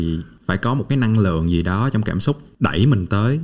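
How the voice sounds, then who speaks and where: An unremarkable speaking voice from a man, fairly low in pitch, at a moderate pace. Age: 20s. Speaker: podcast host. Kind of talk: interview; scripted intro. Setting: studio.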